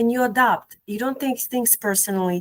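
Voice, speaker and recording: The pitch of this woman's voice sits fairly high. She talks at a moderate pace. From Eastern Europe. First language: Eastern European language. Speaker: cognitive behavioral therapist and educator. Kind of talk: casual interview conversation. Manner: hesitant, many fillers and repetitions.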